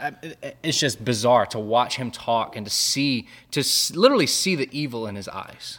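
A man's medium-pitched voice with big swings in loudness. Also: ordinary pitch variation, moderate pace. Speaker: podcast co-host. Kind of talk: casual chat about theology. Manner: animated, jittery from caffeine.

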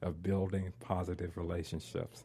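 A man speaks in a very deep, low pitch with a dark, mellow tone and monotone, flat intonation. The recording is very clean, with a silent background. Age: 60s. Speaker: formerly homeless advocate. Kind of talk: conversational interview.

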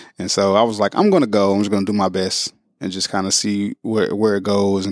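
Talking very fast in a St. Louis accent, a man holds a fairly low pitch with flat, monotone intonation. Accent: Midwestern US, St. Louis. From St. Louis, Missouri (North St. Louis). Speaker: school district recruiter. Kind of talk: casual interview. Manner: smooth.

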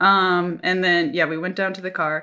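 A woman with an American accent speaks at a fairly quick pace in a bright, sharp tone, on a very clean recording with a silent background. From US Midwest, Minnesota. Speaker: missionary, new mother. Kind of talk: casual interview, birth story.

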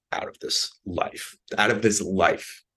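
A man is speaking. The background is quiet. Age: 20s. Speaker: podcast host and aspiring comedian. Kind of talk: solo monologue.

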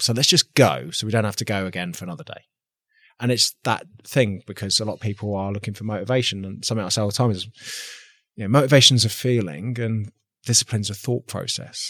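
A man speaks very fast in a fairly low pitch. The sound is dry and close with no echo, on a very clean recording with a silent background. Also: ordinary pitch variation. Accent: English. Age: 30s. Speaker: army veteran, gym owner and content creator. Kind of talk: podcast interview.

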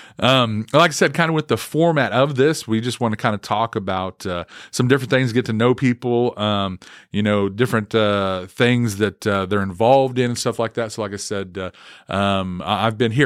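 A man with an Oklahoma accent talks at a moderate pace and medium pitch, with ordinary pitch variation. He barely pauses, and the recording is very clean with a silent background. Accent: Oklahoma Southern US. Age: 40s. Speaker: student pastor. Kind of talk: casual monologue. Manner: halting, many fillers.

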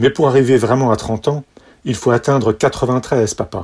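At a moderate pace, a medium-pitched, somewhat breathy man delivers his lines in a playful, deadpan tone. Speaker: son giving toast. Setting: party with audience. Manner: playful, deadpan-mocking, wry, with mock-lyrical flourishes and timed pauses for laughs.

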